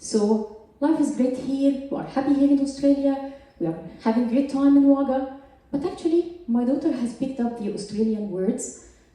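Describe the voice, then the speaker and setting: A woman's high-pitched voice in a strong Egyptian accent, moderate pace and ordinary pitch variation, with audible room echo and noticeable background noise. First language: Arabic. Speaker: scientist. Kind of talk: stand-up. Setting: stage with audience.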